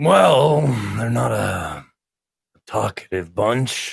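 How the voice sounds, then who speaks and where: Using a put-on character voice, a man speaks at a very slow pace with a raspy sound. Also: medium pitch for a man. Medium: actual play. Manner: wry, chatty.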